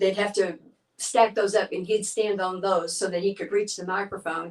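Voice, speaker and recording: Here a woman speaks with a Texan accent. Her voice is medium in pitch. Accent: Texan Southern US. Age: 60s. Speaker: gospel singer. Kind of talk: casual interview storytelling. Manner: animated.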